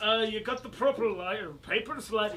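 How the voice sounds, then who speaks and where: Putting on a gruff character voice, a man speaks at a high pitch and moderate pace over clear background noise. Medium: actual play. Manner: gruff, suspicious.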